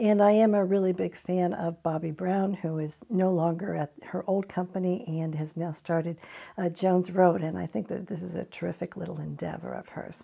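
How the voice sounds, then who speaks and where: This woman's fairly low voice has a dark, mellow tone and fairly even intonation, delivered at a moderate pace with hardly any pauses. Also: quiet background. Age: 50s. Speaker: beauty product reviewer. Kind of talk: product review tutorial. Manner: hesitant with frequent uh fillers.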